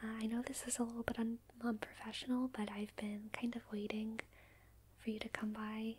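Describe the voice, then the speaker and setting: Soft-spoken delivery moves at a moderate pace with monotone, flat intonation. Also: woman. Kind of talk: soft-spoken roleplay monologue. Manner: soft close ASMR murmur. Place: home room.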